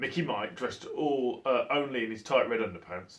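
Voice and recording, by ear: Text is read aloud in a natural voice.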